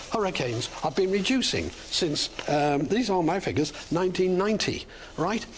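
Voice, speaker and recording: A woman with lively intonation at a moderate pace, against noticeable background noise. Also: very even loudness. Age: 70s. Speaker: retired water resource engineer, TV news guest. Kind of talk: TV interview.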